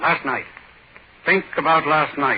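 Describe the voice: A put-on character voice with a husky, rough edge moves at a fairly slow pace. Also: man, fairly high pitch for a man, lively intonation.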